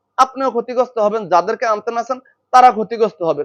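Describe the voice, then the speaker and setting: This is a man's voice. His pitch is high. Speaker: YouTuber and company volunteer. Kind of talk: monologue to followers.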